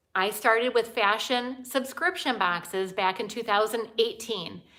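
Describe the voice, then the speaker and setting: A woman's bright, sharp, animated voice at fairly high pitch and moderate pace, on a very clean recording with a silent background. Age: 50s. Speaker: fashion YouTuber. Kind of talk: live stream Q&A.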